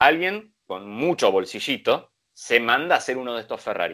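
Here a man is speaking. He keeps a moderate pace. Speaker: motoring show host. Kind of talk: casual chat.

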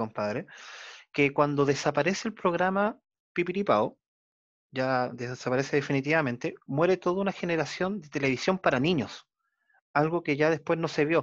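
A plain, everyday voice from a man with fairly high pitch, lively intonation, and a fairly quick pace, over a quiet background. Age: 40s. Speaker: podcast host. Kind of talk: interview.

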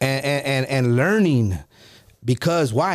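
Here is a man with a normal speaking voice at medium pitch. The recording is very clean, with a silent background. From US, Mexican-Italian family. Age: 40s. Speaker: entrepreneur in financial services and real estate. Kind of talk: casual chat; motivational talk.

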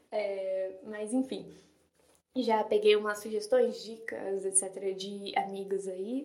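Speaking at a very slow pace, a woman keeps a dark, mellow tone and monotone, flat intonation, with audible room echo around her. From São Paulo, Brazil. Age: 20s. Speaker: literature student and podcaster. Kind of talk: casual monologue.

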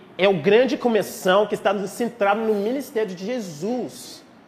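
This man's voice is high in pitch, with ordinary pitch variation and an American accent. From rural Texas, US. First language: English (speaking Portuguese). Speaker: pastor. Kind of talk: sermon. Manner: halting.

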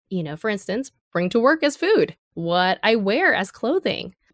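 A woman with a General American accent speaks at medium pitch with lively intonation. The sound is dry and close with no echo, over a quiet background. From US, Los Angeles area. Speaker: author and advertising creative. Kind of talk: interview.

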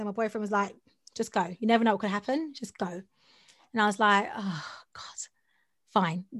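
A woman with a South London accent speaks at medium pitch and a fairly quick pace, with an animated tone and ordinary pitch variation. Her loudness swings widely, long pauses come often, and the recording is very clean with a silent background. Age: 30s. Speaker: voiceover artist and audio producer. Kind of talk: casual interview chat. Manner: fast talker; animated, laughs often.

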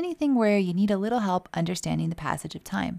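This is an unremarkable speaking voice with ordinary pitch variation. The recording is very clean, with a silent background. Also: woman. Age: 40s. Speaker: holistic wellness coach, podcast host. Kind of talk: solo podcast talk, informational.

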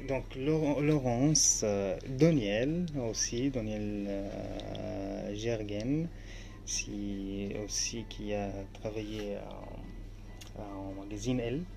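A man with an Arabic accent at a very slow pace, with long, frequent pauses and audible room echo. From Syria, Aleppo. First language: Arabic (speaking French). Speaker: author and refugee. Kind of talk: interview. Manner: halting.

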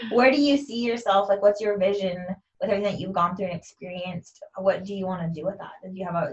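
Loud and at a very fast pace, a woman speaks with hardly any pauses. Her medium pitch shows ordinary pitch variation. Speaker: self love coach and podcast host. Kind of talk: casual interview chat; podcast outro. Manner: animated.

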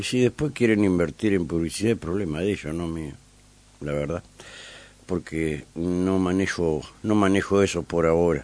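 Very deep and low in pitch, a man's voice moves at a moderate pace, its pitch varying in an ordinary way. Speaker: radio host. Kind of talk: radio interview. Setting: radio studio.

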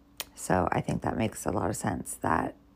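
The woman has a dark, mellow tone. The recording is very clean, with a silent background. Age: 30s. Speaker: podcaster and blogger. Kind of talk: solo monologue. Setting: in bed at home.

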